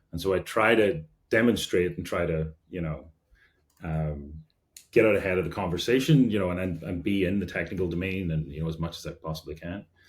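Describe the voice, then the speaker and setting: With a Derry accent, a man speaks in a very deep, low pitch with ordinary pitch variation. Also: big swings in loudness. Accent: Northern Irish (Derry). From Northern Ireland, Derry. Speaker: engineering executive. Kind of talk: podcast interview. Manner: mumbles; casual, many fillers.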